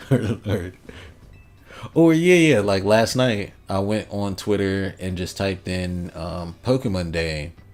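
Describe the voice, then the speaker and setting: A man with an American accent speaks at a very slow pace in a fairly low pitch. His tone is relaxed and his intonation lively. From Philadelphia and rural US. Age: 40s. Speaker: gaming streamer. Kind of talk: live stream chat. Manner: casual, relaxed.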